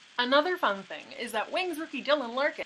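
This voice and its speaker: A woman with a Canadian accent speaks with very wide pitch swings. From Canada. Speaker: hockey vlogger. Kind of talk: vlog commentary. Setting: home, childhood bedroom or basement. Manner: animated.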